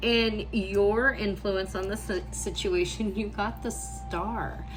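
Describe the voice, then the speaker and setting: A woman talks at a very slow pace. Noticeable background noise and audible room echo fill the recording. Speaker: tarot reader. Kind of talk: tarot reading for a client. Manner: warm, encouraging.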